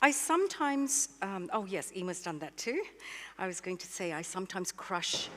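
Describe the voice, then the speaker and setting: With an Australian accent, this voice moves at a moderate pace through very wide pitch swings. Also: woman, medium pitch for a woman. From Malaysia, later Australia. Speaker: baker and cookbook author. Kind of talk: live cooking demonstration. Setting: stage with audience.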